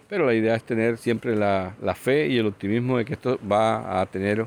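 A man speaks in an ordinary speaking voice at medium pitch and a moderate pace, with hardly any pauses. His loudness stays very even and his intonation fairly even. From Colombian Caribbean coast, Sucre. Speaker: radio station director. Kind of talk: interview.

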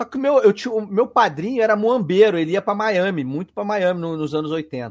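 Lively intonation and a fairly quick pace carry the speech over music in the background. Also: man. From Brazil, Petrópolis (Rio de Janeiro state). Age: 30s. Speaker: radio host and podcast guest. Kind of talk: casual chat.

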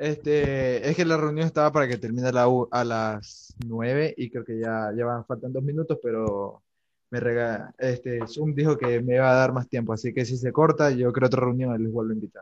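A normal speaking voice from a man, medium in pitch, moderate in pace, fairly even in intonation, with hardly any pauses. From Ecuador. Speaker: podcast host. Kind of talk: casual chat.

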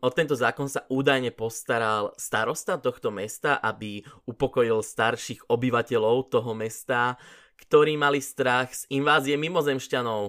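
The recording is very clean against a silent background. A man talks at a moderate pace and medium pitch, with fairly even intonation. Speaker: podcast host. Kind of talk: casual monologue. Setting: home pantry.

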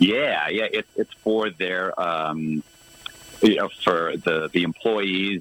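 Fairly even intonation plays over noticeable background noise. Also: man. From US Northeast, Boston suburbs. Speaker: tribute band guitarist. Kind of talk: casual interview.

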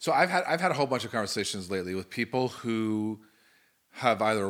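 A normal speaking voice with ordinary pitch variation in a very clean recording with a silent background. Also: man. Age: 40s. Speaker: pastor and podcast host. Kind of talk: casual chat.

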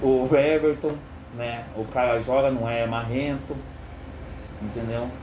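Fairly even intonation and long, frequent pauses come through audible room echo and noticeable background noise. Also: man, medium pitch for a man, fairly slow pace. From Curitiba, southern Brazil. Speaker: football commentator among coworkers. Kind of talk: casual chat.

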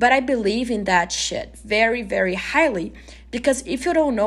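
A woman speaks with a non-native accent. Her intonation is lively. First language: not English. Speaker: podcast host. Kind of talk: casual solo podcast monologue.

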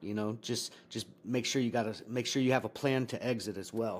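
Recorded very cleanly with a silent background, a man with an unremarkable speaking voice talks at a fairly quick pace, medium pitch and fairly even intonation. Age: 40s. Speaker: army veteran and trading educator. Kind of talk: casual chat.

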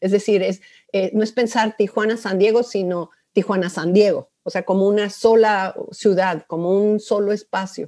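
A woman with a dark, mellow tone speaks at a medium pitch and a moderate pace, her intonation monotone and flat. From Mexico City. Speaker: sociology professor. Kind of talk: interview.

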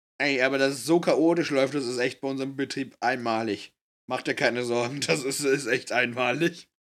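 The recording is very clean with a silent background. A man of medium pitch speaks at a moderate pace. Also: fairly even intonation. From Bavaria, family from NRW. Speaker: podcast co-host, trainee in IT. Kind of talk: casual chat.

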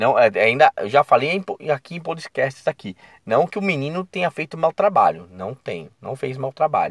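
Recorded dry and close with no echo against a silent background in a very clean recording, a man speaks at a moderate pace in an animated tone. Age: 40s. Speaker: football commentator podcaster. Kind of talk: casual solo commentary. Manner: animated, conversational.

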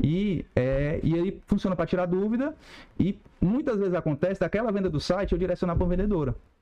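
A man talks at a fairly quick pace in a high pitch, his intonation lively. His tone is dark and mellow, and his loudness stays very even. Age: 30s. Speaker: e-commerce business owner. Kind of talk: casual interview.

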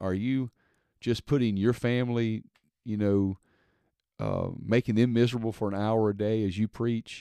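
A man with a Mississippi accent speaks at a moderate pace in a medium-pitched voice, leaving long, frequent pauses. The sound is dry and close with no echo, over a quiet background. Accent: Southern US (Mississippi). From Mississippi, US South. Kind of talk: casual monologue. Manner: hesitant, many fillers.

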